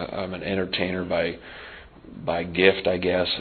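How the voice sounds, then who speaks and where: Noticeable background noise sits behind a man with an American accent who talks at a moderate pace and a very deep, low pitch. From Montana. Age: 40s. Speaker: support group leader. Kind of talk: recovery meeting share. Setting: meeting room with audience and microphone.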